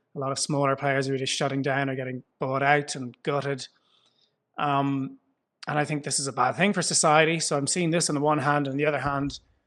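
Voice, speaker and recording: Against a quiet background, a man speaks at a fairly quick pace. His pitch is fairly high and his intonation monotone and flat. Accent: Irish. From Ireland. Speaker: foundation founder. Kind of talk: interview. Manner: conversational, some hesitations.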